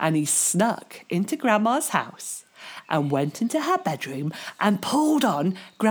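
An unforced reading voice is heard throughout.

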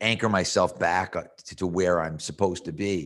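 A very deep, low-pitched man with an American accent, moderate pace and fairly even intonation. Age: 50s. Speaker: strength and conditioning coach. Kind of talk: interview.

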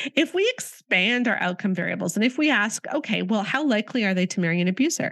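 A woman with an ordinary speaking voice, fairly high in pitch, with a Canadian accent, on a very clean recording with a silent background. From Canada. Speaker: author and podcast host. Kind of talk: interview.

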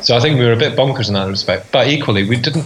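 Noticeable background noise accompanies a man speaking at a medium pitch in a Scottish accent. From Scotland, rural Fife. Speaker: podcast co-host. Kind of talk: casual chat.

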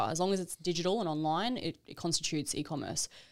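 The speaker talks at a very fast pace in an Australian accent. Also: woman, very clean recording, silent background. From Queensland, Australia (Brisbane). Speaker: e-commerce entrepreneur. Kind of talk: podcast interview.

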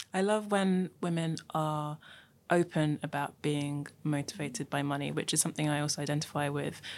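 With a London accent, a woman talks at a moderate pace in a very deep, low pitch with fairly even intonation, on a very clean recording with a silent background. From London, raised in Nigeria early. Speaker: podcast host. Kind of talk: interview chat.

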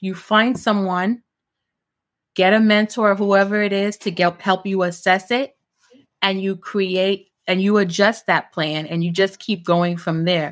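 With a New York accent, a woman speaks at a fairly slow pace, medium in pitch with fairly even intonation. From Brooklyn, New York (born in Jamaica). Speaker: entrepreneur. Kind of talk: casual chat.

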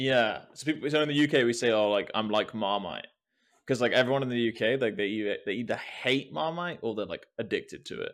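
Recorded very cleanly against a silent background, a man speaks at a fairly quick pace with a medium pitch. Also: ordinary pitch variation. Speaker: podcast host. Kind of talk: casual interview chat. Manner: informal, hesitant, filler-heavy.

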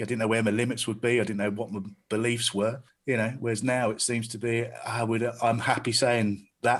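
With a southern English accent, this voice moves at a fairly quick pace in monotone, flat intonation. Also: man, medium pitch for a man. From south-east England (Staines). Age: 40s. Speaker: stand-up comedian and club promoter. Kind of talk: casual chat.

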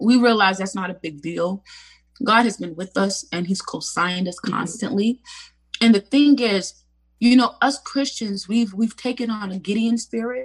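The somewhat breathy voice moves at a moderate pace with ordinary pitch variation. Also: woman, fairly high pitch for a woman. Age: 30s. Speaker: street evangelist and minister. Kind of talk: casual interview. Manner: animated.

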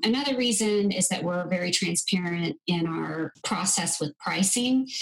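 A woman talks in an unremarkable speaking voice at medium pitch. Her pace is moderate, with ordinary pitch variation. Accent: American. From US. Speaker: medical travel business co-owner. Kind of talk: interview.

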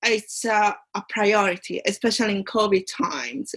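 At a very slow pace, a woman with an Italian accent speaks in a fairly high pitch. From Italy. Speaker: commercial awareness competition finalist, aspiring solicitor. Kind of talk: interview. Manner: halting.

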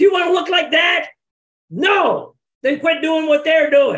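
In a put-on character voice, the speaker shouts at an extremely high pitch and a moderate pace. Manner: barking, harsh.

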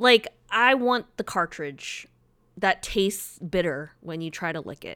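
In a very clean recording with a silent background and a dry, close sound with no echo, a woman with a normal speaking voice and medium pitch talks at a fairly slow pace, with big swings in loudness and ordinary pitch variation. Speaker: podcast co-host. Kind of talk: casual chat.

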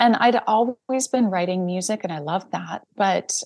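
With a Canadian accent, a woman talks in a normal speaking voice at medium pitch and a moderate pace, showing ordinary pitch variation against a quiet background. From Saskatchewan, Canada. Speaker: screen composer. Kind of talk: interview.

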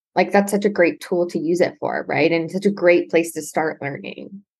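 At a moderate pace, a woman with a Canadian accent talks in a fairly low voice, an ordinary speaking voice. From Ontario, Canada (Brantford). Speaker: astrologer. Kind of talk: casual interview.

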